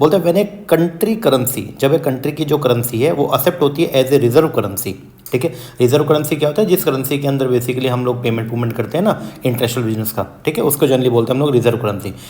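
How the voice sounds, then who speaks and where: Against noticeable background noise and audible room echo, a man speaks at medium pitch with lively intonation. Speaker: UGC NET commerce teacher. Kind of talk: exam revision lecture; casual video intro. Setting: hospital room.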